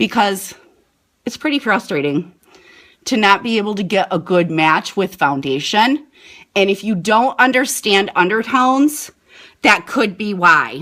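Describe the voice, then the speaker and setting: On a very clean recording with a silent background, a woman speaks loudly at medium pitch in a bright, sharp tone, her pitch swinging very widely at a fairly slow pace with long, frequent pauses. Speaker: beauty product seller. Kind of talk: live product demo. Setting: live video stream. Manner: animated.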